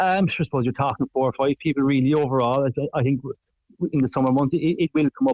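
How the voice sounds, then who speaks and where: Recorded dry and close with no echo, a man with a fairly high voice and a Cork accent talks at a very fast pace with fairly even intonation. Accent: Irish (Cork). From southwest Ireland. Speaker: farmer. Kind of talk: interview. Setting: phone call.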